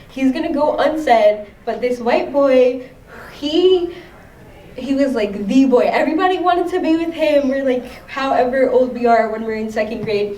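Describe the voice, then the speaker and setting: A woman's high-pitched voice at a moderate pace, with ordinary pitch variation, audible room echo and noticeable background noise. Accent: American. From US Northeast, Long Island, New York. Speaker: artist and activist. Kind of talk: interview. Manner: halting, many fillers.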